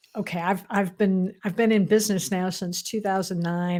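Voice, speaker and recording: Pitched in the medium range, a woman talks in a plain, everyday voice. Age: 60s. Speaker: spiritual alignment coach. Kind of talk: interview.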